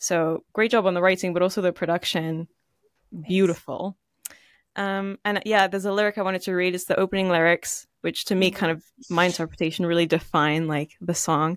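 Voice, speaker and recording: A woman's unremarkable speaking voice at medium pitch, fairly even in intonation, dry and close with no echo, in a very clean recording over a silent background. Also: fairly quick pace. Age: 20s. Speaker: podcast host and musician. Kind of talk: interview conversation.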